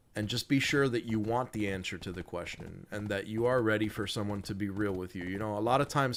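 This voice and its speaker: At a fairly quick pace, a man talks in a fairly low pitch with fairly even intonation. It is an ordinary speaking voice. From US, Cuban immigrant family. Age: 30s. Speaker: live streamer. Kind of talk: casual chat. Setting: live stream.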